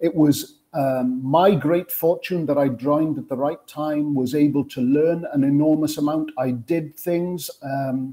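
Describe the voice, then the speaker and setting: In a Welsh accent, a man with a fairly high pitch and a dark, mellow tone speaks at a fairly slow pace with fairly even intonation and hardly any pauses. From Wales. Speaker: sports television producer. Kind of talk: panel interview.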